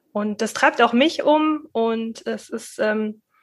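A woman's voice, fairly high in pitch. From Middle Franconia, Germany (rural). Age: 30s. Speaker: local party chair. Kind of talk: interview. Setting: video call. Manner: halting.

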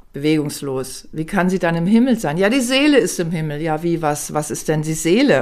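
A woman with a plain, everyday voice speaks at a moderate pace with lively intonation and a fairly low pitch, on a very clean recording with a silent background. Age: 60s. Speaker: author and palliative care nurse. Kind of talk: interview.

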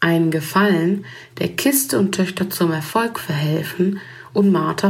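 Through audible room echo and noticeable background noise, a woman with a fairly low pitch talks at a moderate pace with ordinary pitch variation. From Germany. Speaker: writer and photographer. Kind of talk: reading aloud.

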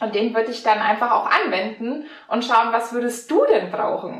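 With a Franconian accent, a woman speaks at a moderate pace amid audible room echo. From Franconia, Germany. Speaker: mental coach and mountain bike instructor. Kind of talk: interview.

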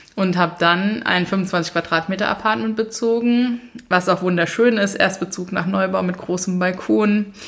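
Over noticeable background noise, a woman talks at a moderate pace with a medium pitch and fairly even intonation. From Mainz, Germany. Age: 30s. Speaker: author and minimalism coach. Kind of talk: casual interview. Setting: in-person recording at host's home.

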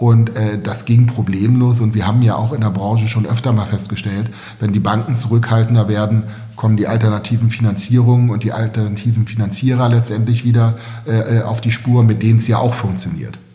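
A man speaks in a monotone, flat intonation at medium pitch and a fairly quick pace, with noticeable background noise. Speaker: real estate developer. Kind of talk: interview. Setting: in-person recording in Berlin. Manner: halting, many fillers and repetitions.

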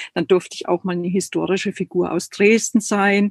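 Dry and close with no echo, an unremarkable speaking voice moves at a moderate pace with fairly even intonation. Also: woman. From East Germany. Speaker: creative and body therapist. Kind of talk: online live interview.

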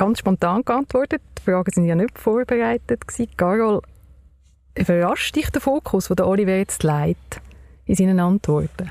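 A woman at medium pitch, moderate in pace with long, frequent pauses and very even loudness, in a dry, close sound with no echo. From Baden, Aargau, Switzerland. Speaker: podcast host. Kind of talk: interview. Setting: car.

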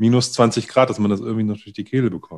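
Ordinary pitch variation shapes a voice with a dark, mellow tone. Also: man, quiet background. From Lower Saxony, northern Germany. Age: 40s. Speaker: podcast host. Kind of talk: casual chat. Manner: halting.

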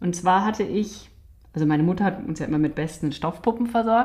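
Her voice somewhat breathy, a woman speaks with lively intonation in a dark, mellow tone. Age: 40s. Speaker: doll maker, clown and actress. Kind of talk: casual conversation. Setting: home studio in an apartment.

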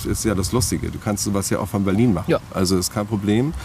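Fairly quick speech from a man, noticeable noise behind it. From Hamburg, northern Germany. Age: 50s. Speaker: festival organizer. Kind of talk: interview. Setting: outdoors in a park. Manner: halting, many filler words.

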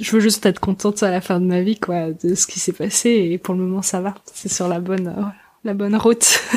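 A woman speaks in an ordinary speaking voice at a medium pitch. Her intonation stays fairly even. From Alsace, France. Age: 20s. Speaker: podcaster. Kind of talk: interview.

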